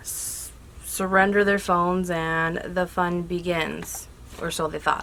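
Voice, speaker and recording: The pace is very slow. The voice is quiet. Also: woman. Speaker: YouTube movie reviewer. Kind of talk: casual vlog review.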